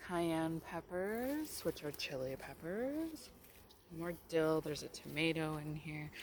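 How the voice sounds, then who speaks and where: A quiet woman's voice, fairly low-pitched, at a very slow pace with ordinary pitch variation, dry and echo-free but over loud background noise. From Canada. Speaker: gardening vlogger. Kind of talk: garden tour vlog. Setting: outdoors. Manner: casual. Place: garden.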